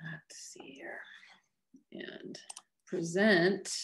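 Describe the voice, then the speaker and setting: A woman is speaking. She has an American accent. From US West Coast, Los Angeles. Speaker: oceanographer. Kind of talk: lecture.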